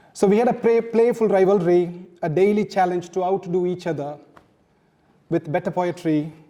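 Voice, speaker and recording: A man's high-pitched, dark, mellow voice with a Tamil accent. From South India, Tamil-speaking. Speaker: author. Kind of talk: launch speech.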